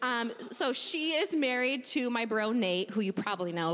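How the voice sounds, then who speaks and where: A woman with an American accent speaks at a moderate pace in an animated, playful tone, with very wide pitch swings. Background noise is noticeable. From US Midwest. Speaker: church member giving a talk. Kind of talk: casual testimony at church service. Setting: church with audience.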